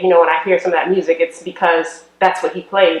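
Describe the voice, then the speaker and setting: In an unremarkable speaking voice, a woman talks at a fairly quick pace with medium pitch and fairly even intonation. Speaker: interviewer. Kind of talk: interview questions.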